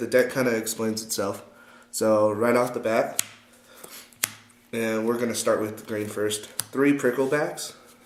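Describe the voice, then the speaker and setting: With fairly even intonation, a man talks as noticeable background noise carries on. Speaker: card game player. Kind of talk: casual deck profile talk to camera.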